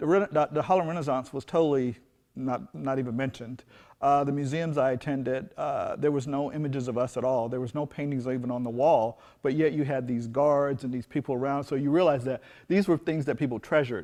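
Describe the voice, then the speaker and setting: The background is quiet. A man speaks at a fairly high pitch. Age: 60s. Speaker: fine artist. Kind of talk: interview. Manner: halting.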